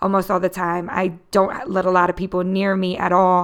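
A woman speaks with a Philadelphia accent. Her pitch sits in the medium range. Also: very clean recording, silent background. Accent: Philadelphia American. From Philadelphia, US. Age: 30s. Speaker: podcast host and writer. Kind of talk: solo podcast monologue.

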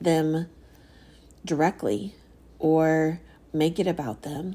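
Dark and mellow in tone, a woman speaks at fairly low pitch. The recording is very clean, with a silent background. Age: 40s. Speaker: podcast host. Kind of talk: solo podcast monologue. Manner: hesitant, many fillers.

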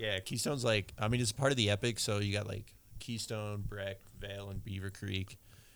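The delivery is fairly quick, in an American accent. An unremarkable speaking voice holds fairly even intonation. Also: man, fairly low pitch for a man. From Maryland. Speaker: podcast host. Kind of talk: casual chat.

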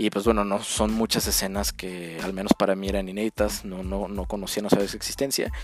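A man with a fairly low voice talks at a fairly quick pace with hardly any pauses and ordinary pitch variation. His loudness swings widely, and background noise is noticeable. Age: 30s. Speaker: sports podcast host. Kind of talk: solo podcast commentary.

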